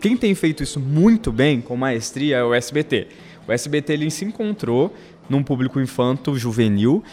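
With a normal speaking voice, a man talks at a moderate pace and fairly high pitch, using lively intonation. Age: 30s. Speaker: television soap opera researcher. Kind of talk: casual chat. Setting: studio.

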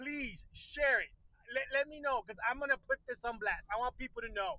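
A man talks in a raised, projected voice at an extremely high pitch, with ordinary pitch variation and a fairly quick pace. The sound is dry and close, with no echo. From Puerto Rico. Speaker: podcast host. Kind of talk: casual live-stream chat. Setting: in a car. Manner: casual, hesitant with many fillers.

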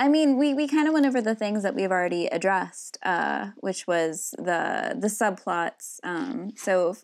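An unremarkable speaking voice from a woman, fairly slow in pace with lively intonation, on a very clean recording with a silent background. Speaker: podcast co-host. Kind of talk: casual podcast discussion about RPG design.

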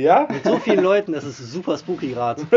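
Very fast, high-pitched male speech amid noticeable background noise. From Germany, Mönchengladbach. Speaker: podcast host. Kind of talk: casual interview. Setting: band rehearsal room.

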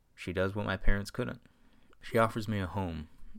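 A natural reading voice

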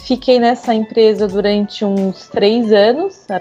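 A woman with a fairly high pitch speaks at a very slow pace with ordinary pitch variation. There is noticeable background noise. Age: 30s. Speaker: industrial designer. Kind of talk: casual chat.

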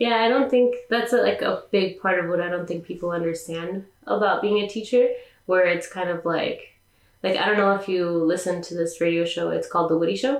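Against noticeable background noise, a woman talks fairly quickly at a medium pitch with ordinary pitch variation. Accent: Californian. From California. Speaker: podcast host. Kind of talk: casual interview chat.

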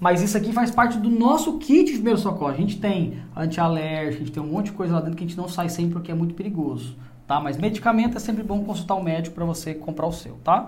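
Over noticeable background noise and audible room echo, a man talks at a very fast pace with hardly any pauses, in a high pitch with ordinary pitch variation. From Goiás, Brazil (interior). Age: 30s. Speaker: podcast host. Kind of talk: casual interview.

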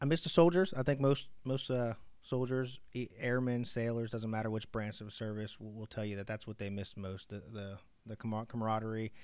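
A man with an American accent speaks in a plain, everyday voice at a medium pitch and fairly quick pace, with ordinary pitch variation and big swings in loudness. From Pittsburgh, US. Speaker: maritime college administrator, Army veteran. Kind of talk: interview. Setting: his office.

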